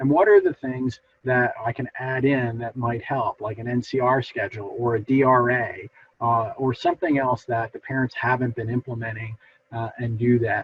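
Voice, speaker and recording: Somewhat breathy, the man speaks with fairly even intonation. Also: medium pitch for a man. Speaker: behavior analyst presenter. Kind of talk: lecture. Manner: fast; hesitant fillers.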